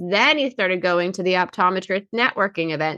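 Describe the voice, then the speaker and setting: Bright and sharp in tone, a woman's voice shows ordinary pitch variation. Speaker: insurance marketing host. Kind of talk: casual chat. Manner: animated.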